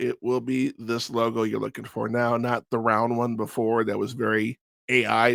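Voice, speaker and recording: In a very clean recording with a silent background, the speaking unfolds at a moderate pace. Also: man. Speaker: wrestling podcast host. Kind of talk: casual review monologue. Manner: hesitant, many fillers.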